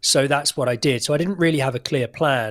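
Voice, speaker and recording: A man speaks in an English accent with fairly even intonation. The recording is very clean, with a silent background. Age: 30s. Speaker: actor. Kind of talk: interview.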